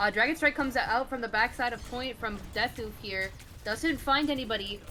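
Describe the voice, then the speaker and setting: Her voice is high-pitched, and this woman's pitch varies in an ordinary way. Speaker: esports caster. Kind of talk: live commentary. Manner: fast.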